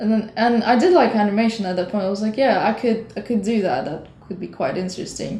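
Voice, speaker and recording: A woman's fairly high voice with a non-native accent, very fast and with hardly any pauses, ordinary pitch variation, over noticeable background noise. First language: not English. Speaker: animator and designer. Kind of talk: interview. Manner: halting.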